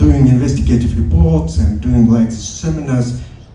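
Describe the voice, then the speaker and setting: In a Kyrgyz accent, a man speaks amid audible room echo and noticeable background noise. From Kyrgyzstan. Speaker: audience member asking a question. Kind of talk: audience question at panel. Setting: conference panel. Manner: halting.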